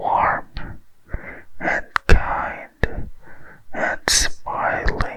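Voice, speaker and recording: A whispering man over noticeable background noise. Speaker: ASMR storyteller. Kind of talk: bedtime story reading. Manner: slow, soft-spoken.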